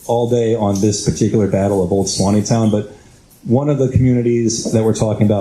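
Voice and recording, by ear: The reading is done aloud in a natural voice, its intonation fairly even.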